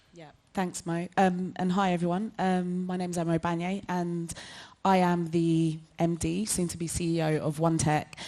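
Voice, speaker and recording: A woman with a London accent at a moderate pace, flat and monotone in intonation, with big swings in loudness. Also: fairly low pitch for a woman. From London, Hackney. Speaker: tech nonprofit director, former founder. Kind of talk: panel discussion.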